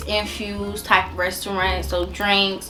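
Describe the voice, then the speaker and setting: The speaker is a woman. Music plays in the background. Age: 20s. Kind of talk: casual storytime talk to camera.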